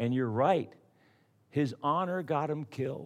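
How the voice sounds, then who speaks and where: Lively intonation marks this man's normal speaking voice, delivered at a moderate pace. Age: 50s. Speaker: pastor. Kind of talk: sermon.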